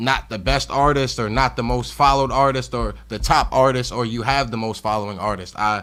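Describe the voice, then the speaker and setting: In a very clean recording with a silent background, a man with an American accent talks at a fairly quick pace and medium pitch, his tone bright and sharp, his intonation fairly even, with hardly any pauses. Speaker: hip hop artist and music blogger. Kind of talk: casual interview. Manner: halting, stumbling over words.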